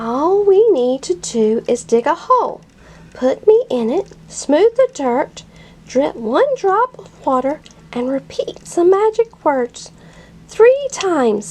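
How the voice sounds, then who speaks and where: A put-on character voice from a woman, upbeat and extremely high-pitched, with very wide pitch swings and a fairly slow pace. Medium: read story. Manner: upbeat, encouraging.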